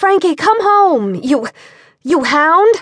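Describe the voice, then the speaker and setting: A woman shouting in a put-on character voice, extremely high in pitch, with lively intonation. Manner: yelling, stern.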